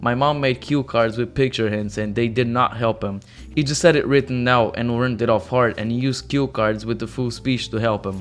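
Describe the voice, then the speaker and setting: A man with a non-native accent talks with hardly any pauses. His intonation is fairly even. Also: medium pitch for a man, moderate pace. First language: not English. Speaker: reddit story narrator. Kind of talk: reading aloud; channel outro. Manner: stuttering.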